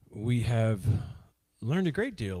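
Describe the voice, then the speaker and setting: Against a very clean recording with a silent background, a man with a Southern US accent talks at a moderate pace, his tone dark and mellow and his intonation lively. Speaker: livestream host exploring ancient mound sites. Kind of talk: casual livestream chat. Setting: live stream. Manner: hesitant, many fillers.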